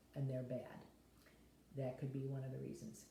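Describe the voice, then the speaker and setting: In a room with audible echo, a woman talks with a very deep, low pitch, a dark, mellow tone and a somewhat breathy quality. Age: 70s. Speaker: health vlogger. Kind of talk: casual talk to camera. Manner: rambling, conversational with fillers.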